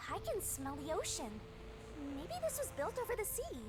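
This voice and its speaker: An extremely high-pitched, put-on character voice comes through over loud background noise. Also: moderate pace. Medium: game stream. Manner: teasing, flippant.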